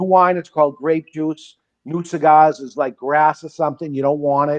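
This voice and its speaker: Here is a man with a normal speaking voice. His pitch is fairly high and his pace moderate. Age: 60s. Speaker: cigar shop owner. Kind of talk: casual chat.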